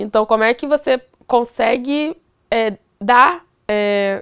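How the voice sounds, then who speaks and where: Recorded very cleanly, with a silent background and a dry, close sound with no echo, a woman with a Carioca accent speaks at a fairly high pitch. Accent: carioca Brazilian Portuguese. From Duque de Caxias, Rio de Janeiro. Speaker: computer science student and tech educator. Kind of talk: casual chat.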